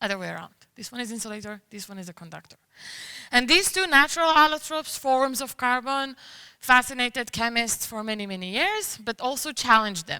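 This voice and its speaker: At a fairly quick pace, the voice has a bright, sharp tone, lively intonation and big swings in loudness. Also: woman, high pitch for a woman. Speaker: chemistry researcher. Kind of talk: science talk.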